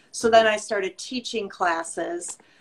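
An ordinary speaking voice with an American accent talks at a fairly slow pace with ordinary pitch variation. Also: woman. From US Midwest. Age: 60s. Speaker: fitness instructor and skincare business owner. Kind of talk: casual chat.

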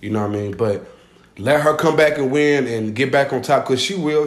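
Here is a man with a normal speaking voice. He talks fairly quickly at a medium pitch with ordinary pitch variation. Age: 20s. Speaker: podcast guest. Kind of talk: casual chat.

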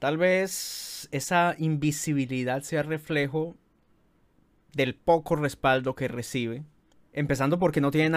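An unremarkable speaking voice, fairly slow with fairly even intonation, in a very clean recording with a silent background. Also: man. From Colombia. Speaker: podcast host, journalist. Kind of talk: scripted narration.

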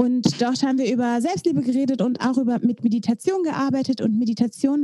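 A woman with a high pitch talks at a fairly quick pace in a dry, close recording with no echo. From East Belgium, German-speaking border area. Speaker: podcast co-host. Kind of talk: casual chat.

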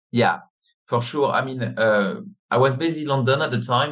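Speaking with a French accent, a man talks at a fairly quick pace in a medium pitch with fairly even intonation. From France. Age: 50s. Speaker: business network chairman. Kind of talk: interview. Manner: halting.

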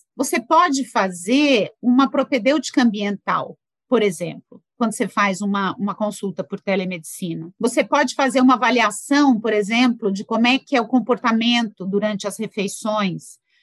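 This woman has an ordinary speaking voice, fairly high in pitch, with lively intonation. She keeps a moderate pace with hardly any pauses, and the sound is dry and close with no echo. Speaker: physician, endocrinologist. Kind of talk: interview discussion.

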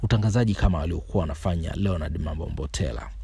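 A man speaks with a Kilimanjaro accent. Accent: rural Kilimanjaro accent in Swahili. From Tanzania, Kilimanjaro (Moshi, Materuni village). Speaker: aspiring radio presenter, storyteller. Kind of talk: personal storytelling monologue. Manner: halting, with repetitions.

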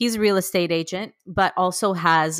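In a very clean recording with a silent background and a dry, close sound with no echo, a woman with a Canadian accent has an unremarkable speaking voice, fairly low pitch, ordinary pitch variation and a moderate pace. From Toronto, Canada. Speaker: teacher and podcast co-host. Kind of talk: casual interview chat.

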